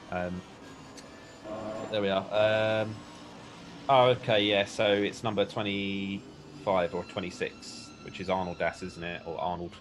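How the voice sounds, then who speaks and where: A man with a British accent, fairly low pitch and fairly even intonation. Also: fairly slow pace. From UK. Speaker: sim racing commentator. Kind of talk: live commentary. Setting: live stream commentary box. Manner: casual, hesitant with fillers.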